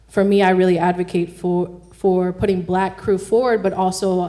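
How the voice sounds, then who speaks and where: There is noticeable background noise as a woman speaks at a fairly quick pace. Her medium-pitched delivery is monotone and flat. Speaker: cinematographer. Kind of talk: panel discussion. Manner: loud.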